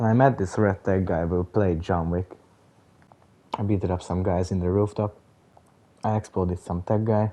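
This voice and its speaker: A man with a very deep, low voice speaks in a dark, mellow tone with fairly even intonation. He leaves long, frequent pauses. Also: moderate pace. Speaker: gamer. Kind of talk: gameplay commentary. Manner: casual.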